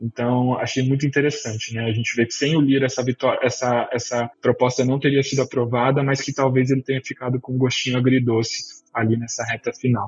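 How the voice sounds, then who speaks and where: A man speaks with a Brazilian accent. His intonation is monotone and flat. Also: medium pitch for a man, fairly quick pace, hardly any pauses. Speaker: political analyst. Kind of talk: panel discussion. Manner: hesitant, many fillers.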